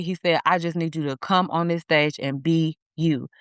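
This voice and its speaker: Someone with an American accent talks fairly slowly in a dry, close recording with no echo and a quiet background. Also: woman. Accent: inner-city accent, talks hoodish at times. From US inner city. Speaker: therapist and coach. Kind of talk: interview conversation. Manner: animated.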